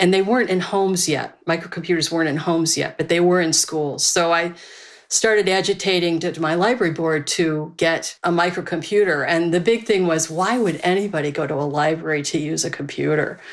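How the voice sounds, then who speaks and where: An unremarkable speaking voice from a woman, fairly low in pitch and fairly even in intonation, at a fairly quick pace in a very clean recording with a silent background. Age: 60s. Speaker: librarian and internet pioneer. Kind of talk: interview storytelling.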